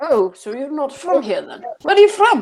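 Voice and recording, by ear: A put-on character voice, high-pitched and gruff, with very wide pitch swings at a moderate pace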